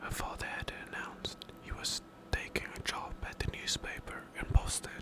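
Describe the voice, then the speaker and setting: A soothing whisper at a fairly slow pace, with noticeable background noise. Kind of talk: scary story book reading. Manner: quiet, soothing, relaxing.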